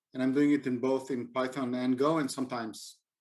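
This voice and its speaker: Speaking with a non-native accent, a man talks at a medium pitch and a moderate pace. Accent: non-native English speaker. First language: not English. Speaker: software engineer and conference speaker. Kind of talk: conference talk. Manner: hesitant, many fillers.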